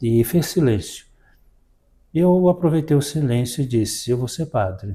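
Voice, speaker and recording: Lively intonation marks a man's fairly high, somewhat breathy voice. His tone is dark and mellow, and his pace is fairly slow. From Brazil, Minas Gerais (Belo Horizonte, Sabará). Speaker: parish priest. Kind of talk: interview about life story.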